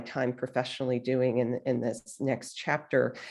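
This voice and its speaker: Her pace is moderate. The woman is heard against a quiet background. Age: 60s. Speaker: author and book coach. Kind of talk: interview storytelling. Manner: hesitant, many fillers.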